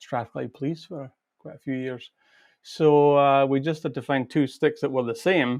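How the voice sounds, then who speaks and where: A man with a Scottish accent speaks at a moderate pace and a fairly high pitch, with fairly even intonation against a quiet background. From Scotland, Perth. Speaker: pipe band drummer and teacher. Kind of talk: casual interview.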